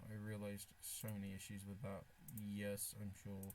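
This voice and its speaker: The voice has a dark, mellow tone and a monotone, flat delivery at a fairly slow pace. Audible room echo surrounds it. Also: man. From Britain. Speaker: streamer. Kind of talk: casual live stream chat. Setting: live stream, wearing a face mask. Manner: halting, with restarts and fillers.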